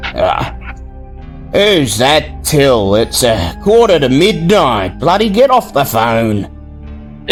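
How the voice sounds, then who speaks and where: A gruff, put-on character voice at a very slow pace, with clear music in the background. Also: man, medium pitch for a man. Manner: irritated.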